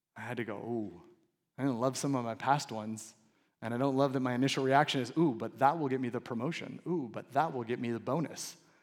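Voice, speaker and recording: Very fast speech with fairly even intonation, on a very clean recording against a silent background. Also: man, medium pitch for a man. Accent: Californian. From Southern California. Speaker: pastor. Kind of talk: sermon.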